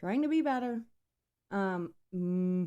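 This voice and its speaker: Speaking at a very slow pace, this voice has a dark, mellow tone and lively intonation. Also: woman. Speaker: podcast host. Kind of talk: casual chat. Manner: hesitant, many fillers.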